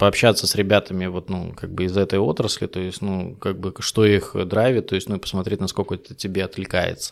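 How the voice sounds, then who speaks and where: Recorded very cleanly over a silent background, a man talks at a moderate pace. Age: 30s. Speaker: B2B salesperson. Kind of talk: casual interview chat.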